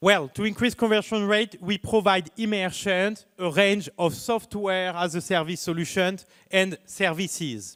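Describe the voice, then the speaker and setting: A man with a French accent and high pitch talks at a fairly slow pace with fairly even intonation and hardly any pauses. The recording is very clean with a silent background. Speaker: startup founder. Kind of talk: pitch presentation.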